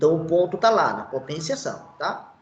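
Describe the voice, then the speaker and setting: A man talks at a high pitch, and audible room echo follows his words. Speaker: teacher. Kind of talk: online lecture.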